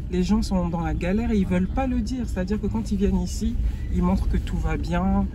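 A man's very deep, low voice at a fairly quick pace amid noticeable background noise. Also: ordinary pitch variation, dry sound with no echo. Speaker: travel vlogger. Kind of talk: casual conversation. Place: car. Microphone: phone near.

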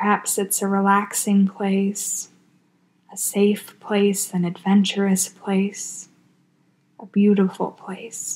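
A woman talks at a very slow pace with a medium pitch and a calm, soothing tone. Her intonation is monotone and flat, and her voice is somewhat breathy. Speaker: hospital chaplain. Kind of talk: guided meditation. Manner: slow, calm, soothing.

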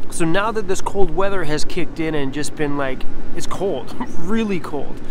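Moderate pace, dry sound with no echo, and noticeable background noise. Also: man. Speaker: vanlife vlogger. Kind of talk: casual vlog chat. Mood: relaxed, cheerful. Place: street. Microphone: phone near.

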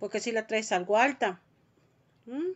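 The tone is animated, with a Mexican accent. Behind it, the background is quiet. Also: woman. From Mexico. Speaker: vlogger. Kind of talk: casual chat. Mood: worried, expressive. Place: home room. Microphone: phone near.

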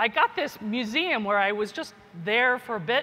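A woman speaks with a high pitch and lively intonation. Her pace is moderate. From US, Kentucky. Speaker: geneticist and professor; professor. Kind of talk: keynote speech. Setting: conference stage with audience. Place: hall.

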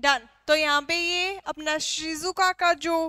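A woman projects a raised voice with a bright, sharp tone and fairly even intonation. The background is quiet. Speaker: drawing teacher. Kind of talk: tutorial. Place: studio. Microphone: headset.

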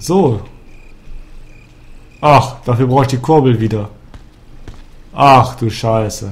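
A man with a medium pitch talks at a very slow pace, his somewhat breathy voice broken by long, frequent pauses. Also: ordinary pitch variation. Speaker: let's play gamer. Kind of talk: casual gameplay commentary.

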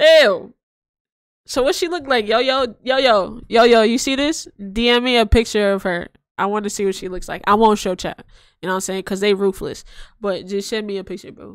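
A woman at a fairly quick pace, with ordinary pitch variation and big swings in loudness, in a dry sound with no echo over a quiet background. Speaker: live streamer. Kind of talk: casual reaction stream chat. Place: home room. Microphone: studio mic.

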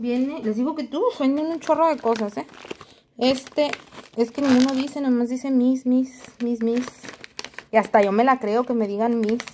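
Against light background noise, a woman with a high pitch speaks at a fairly slow pace with fairly even intonation and long, frequent pauses. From Mexico. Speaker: nail art youtuber. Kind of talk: unboxing video. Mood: cheerful, chatty. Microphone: phone near.

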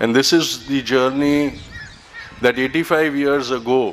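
A man is heard over light background noise. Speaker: event host giving welcome. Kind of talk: formal welcome speech. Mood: solemn, reflective. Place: garden. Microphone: podium.

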